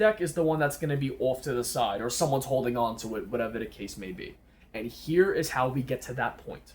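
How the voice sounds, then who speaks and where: A somewhat breathy man at a fairly high pitch, fairly quick in pace, with ordinary pitch variation. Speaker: magician teaching card tricks. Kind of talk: tutorial. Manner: casual.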